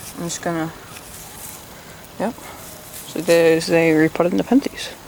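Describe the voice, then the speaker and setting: Over noticeable background noise, a man speaks at a moderate pace in a high voice. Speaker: plant hobbyist youtuber. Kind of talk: tutorial. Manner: not speaking loudly; casual, hesitant with fillers.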